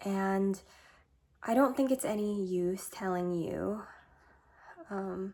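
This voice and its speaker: A woman speaks very slowly, with long, frequent pauses. Her medium pitch varies in an ordinary way, and her tone is dark and mellow. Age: 20s. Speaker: lifestyle vlogger. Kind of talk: personal vlog monologue. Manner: reflective.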